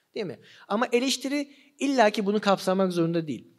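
A man with a high pitch and lively intonation talks against a quiet background. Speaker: philosophy seminar lecturer. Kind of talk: lecture. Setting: live seminar with audience. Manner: slightly trembling voice. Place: hall. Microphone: studio mic.

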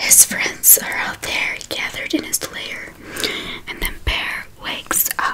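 A woman whispers, soft-spoken and at a very slow pace, over loud background noise. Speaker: storyteller reading aloud. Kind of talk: soft bedtime story reading. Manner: soft ASMR whisper close to the mic. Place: home room. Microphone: studio mic.

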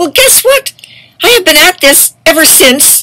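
Against a quiet background, a woman uses a raised, projected voice at a fairly quick pace. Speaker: activist vlogger. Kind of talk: angry monologue. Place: home room. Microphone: webcam.

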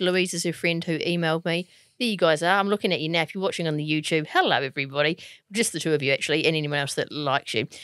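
With a New Zealand accent, a woman talks at a very fast pace in a fairly low pitch, showing ordinary pitch variation. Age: 40s. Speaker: podcast co-host, TV presenter. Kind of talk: casual chat.

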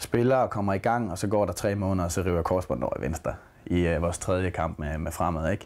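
Ordinary pitch variation accompanies a very fast rate of speech. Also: man, very deep, low pitch for a man. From Denmark, Aarhus; Denmark. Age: 20s. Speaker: footballer. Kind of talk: interview. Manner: halting. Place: home room.

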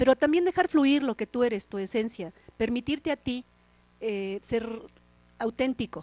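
A woman speaks at a high pitch in a dark, mellow tone, the sound dry with no echo. Her pace is moderate, broken by long, frequent pauses. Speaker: TV program host. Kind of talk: interview. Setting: studio. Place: studio. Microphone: handheld.

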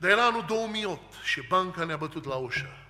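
A man's voice with lively intonation at a moderate pace. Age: 40s. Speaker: preacher. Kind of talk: sermon. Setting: church. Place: church. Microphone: podium.

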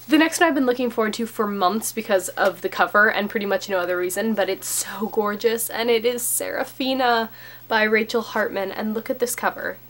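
A woman's medium-pitched voice with a fairly bright tone, ordinary pitch variation, a fairly quick pace and few pauses

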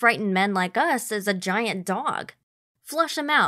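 Quiet background behind an unforced reading voice, intonation lively

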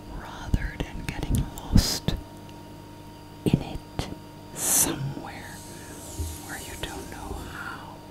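Whispering at a very slow pace, a woman speaks. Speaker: life coach, ASMR whisper coach. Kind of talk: guided coaching talk. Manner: whispered, soft-spoken, calming. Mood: calm, teaching. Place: home room.

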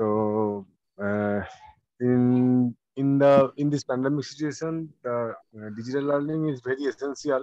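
A man's dark, mellow voice in an Indian accent, medium in pitch with fairly even intonation, at a fairly slow pace in a dry, close recording with no echo. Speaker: college office assistant. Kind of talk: audience question. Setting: video call. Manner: halting.

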